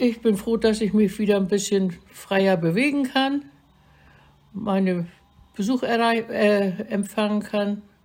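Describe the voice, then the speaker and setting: A woman speaks at a medium pitch, somewhat breathy, with fairly even intonation. Her pace is very slow, broken by long, frequent pauses. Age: 80s+. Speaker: elderly vaccine recipient. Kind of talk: recorded interview.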